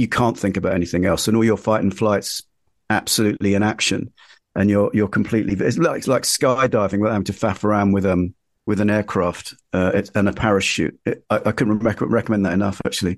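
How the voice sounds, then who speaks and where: Against a quiet background, a man with a London accent talks at a very fast pace, fairly low in pitch, with fairly even intonation and very even loudness. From East London (Ilford). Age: 50s. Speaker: magazine editor and journalist. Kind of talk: interview. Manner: halting.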